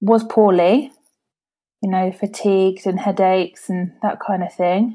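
A woman with a southeast English accent, medium pitch, dark and mellow tone, fairly even intonation and a fairly slow pace, on a very clean recording with a silent background. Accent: south-east English. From Kent, England. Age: 20s. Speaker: hairdresser and patient with a rare condition. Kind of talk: interview.

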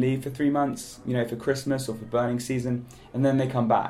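A man with a British accent. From United Kingdom. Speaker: digital nomad. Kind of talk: interview.

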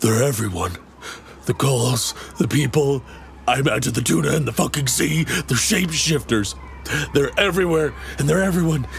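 Over clear background noise, the voice moves at a moderate pace with very wide pitch swings, very even loudness and long, frequent pauses. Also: man, medium pitch for a man. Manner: haunted, agitated.

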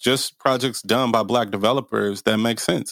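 With an American accent and a normal speaking voice, a man talks at a moderate pace. His intonation is fairly even, on a very clean recording with a silent background. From US Midwest, Milwaukee. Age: 30s. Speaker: real estate developer. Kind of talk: interview.

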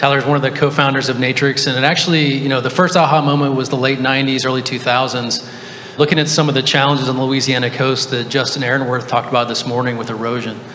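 A man's very fast, monotone delivery at medium pitch, with flat intonation and noticeable background noise. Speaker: startup CEO. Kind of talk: panel discussion. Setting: stage with audience.

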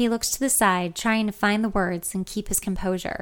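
The clip has an unforced reading voice and fairly even intonation.

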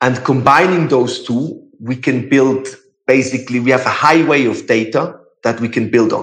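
A man at medium pitch speaks at a moderate pace with fairly even intonation, and audible room echo fills the recording. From Switzerland. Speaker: startup founder. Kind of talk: interview. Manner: halting.

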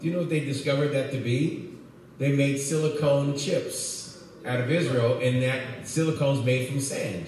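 With an American accent and a fairly high pitch, a man speaks at a moderate pace with fairly even intonation, amid noticeable background noise and audible room echo. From US West Coast, Oakland. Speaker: pastor. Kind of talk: sermon.

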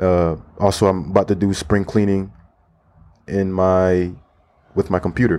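A dark, mellow voice with a Florida accent, monotone and flat, at a moderate pace with long, frequent pauses and very even loudness. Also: man, very deep, low pitch for a man. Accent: American English, Florida. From Florida, US. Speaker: podcast host and language teacher. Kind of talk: casual solo podcast monologue aimed at language learners.

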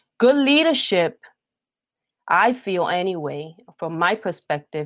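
This woman speaks with a New York accent. Her pitch sits at a medium level. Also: quiet background. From Brooklyn, New York, Puerto Rican family. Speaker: theological education leader and pastor. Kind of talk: interview.

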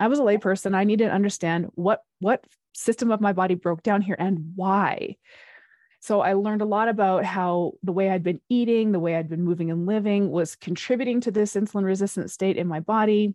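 A woman speaks at a fairly quick pace in an ordinary speaking voice. Her medium pitch follows a fairly even intonation. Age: 40s. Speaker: fitness and metabolism coach. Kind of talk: interview.

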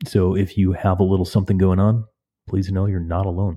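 A man with a low pitch talks in a dark, mellow tone.

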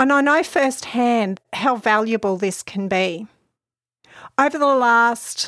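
A woman speaks with an Australian accent at a fairly high pitch. The recording is very clean, with a silent background. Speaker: podcast host, mental health social worker. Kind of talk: solo podcast talk.

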